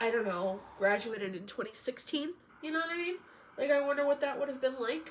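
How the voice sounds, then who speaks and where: Noticeable background noise runs behind a woman with a high-pitched voice. She speaks at a fairly quick pace with very wide pitch swings. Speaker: podcaster and hairstylist. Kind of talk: casual solo podcast chat. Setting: recording alone on an iPad.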